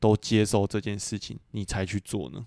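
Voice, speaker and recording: At a moderate pace, a man speaks with a fairly low pitch in a dry, close sound with no echo. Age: 20s. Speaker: podcast co-host. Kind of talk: casual chat.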